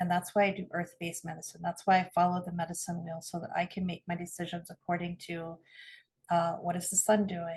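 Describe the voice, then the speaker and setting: Fairly low and somewhat breathy, a woman's voice at a fairly quick pace in a flat monotone. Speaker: spiritual podcast co-host, earth-based medicine practitioner. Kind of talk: casual conversation.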